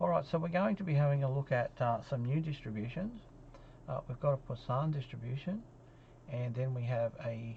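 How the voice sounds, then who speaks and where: Somewhat breathy and dark, mellow in tone, a man with an Australian accent speaks at a medium pitch and moderate pace with lively intonation. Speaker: statistics lecturer. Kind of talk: recorded lecture. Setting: solo lecture recording. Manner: halting, many fillers.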